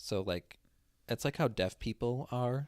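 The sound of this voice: With a slightly mellow tone, a man speaks at a fairly slow pace using ordinary pitch variation.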